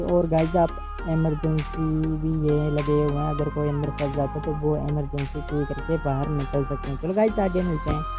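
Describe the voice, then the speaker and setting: The speech comes at a fairly slow pace with a dry sound and no echo. Clear music plays in the background. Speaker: travel vlogger. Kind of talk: casual vlog chat. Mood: excited, admiring. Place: car. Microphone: phone near.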